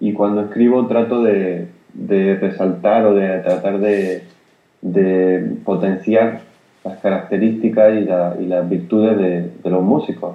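A man talks in an ordinary speaking voice, fairly low in pitch, with fairly even intonation and a fairly slow pace. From Spain, Granada (Andalusia). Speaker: jazz pianist. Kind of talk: interview.

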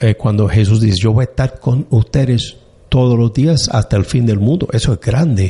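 A man's dark, mellow, somewhat breathy voice with ordinary pitch variation at a moderate pace. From US (Annapolis, Maryland). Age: 60s. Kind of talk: interview conversation. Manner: halting, many fillers.

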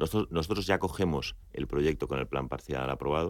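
With vocal fry and ordinary pitch variation, a man speaks in a very deep, low voice. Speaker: executive. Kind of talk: radio interview.

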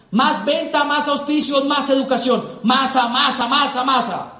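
An animated tone over noticeable background noise. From Colombia. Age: 20s. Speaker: business motivational speaker. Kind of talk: motivational talk.

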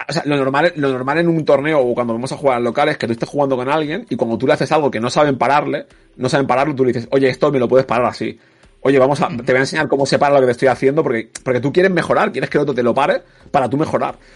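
Intonation remains fairly even. Words come out at a very fast pace. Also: man, fairly high pitch for a man. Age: 30s. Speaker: esports commentator. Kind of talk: casual chat.

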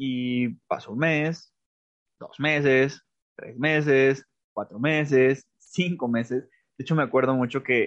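An unremarkable speaking voice with ordinary pitch variation. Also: man. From Mexico, Aguascalientes. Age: 20s. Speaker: writer and theatre artist. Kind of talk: interview.

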